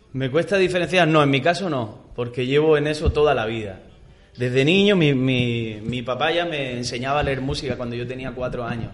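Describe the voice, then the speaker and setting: There is audible room echo as a man speaks at medium pitch and a fairly quick pace with ordinary pitch variation. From Almería, Spain. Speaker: singer. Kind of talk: radio interview. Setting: radio studio.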